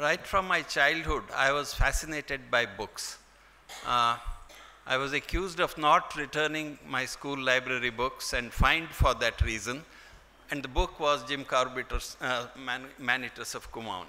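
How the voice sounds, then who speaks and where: At a moderate pace, a man with a Kannada accent speaks at a fairly high pitch with ordinary pitch variation. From India, Karnataka coast (near Mangalore). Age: 70s. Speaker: wildlife scientist, keynote speaker. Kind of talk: keynote speech.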